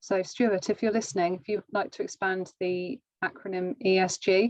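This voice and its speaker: Recorded dry and close with no echo, a woman with a British accent speaks at a moderate pace in a medium-pitched voice with fairly even intonation. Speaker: webinar host. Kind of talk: live webinar Q&A. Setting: video call.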